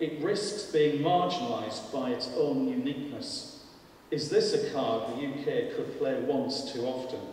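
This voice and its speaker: At a fairly high pitch, a man speaks at a fairly slow pace with very wide pitch swings. Strong room echo and light background noise fill the recording. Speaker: panel speaker. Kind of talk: public lecture. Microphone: podium.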